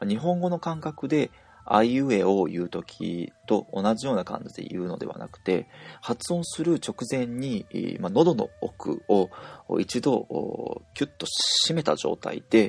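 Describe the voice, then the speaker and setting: Over noticeable background noise, a man at a medium pitch talks at a fairly slow pace, his pitch swinging very widely and his loudness shifting in big swings. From Japan. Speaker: language teacher. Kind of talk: tutorial.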